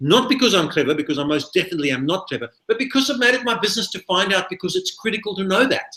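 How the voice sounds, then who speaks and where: A man talks very fast in a bright, sharp tone. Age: 60s. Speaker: recruitment business trainer. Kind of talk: webinar presentation.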